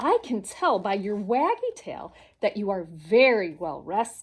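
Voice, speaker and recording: At a fairly slow pace, a woman performs a put-on character voice at a medium pitch. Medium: read story. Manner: chirpy, enthusiastic.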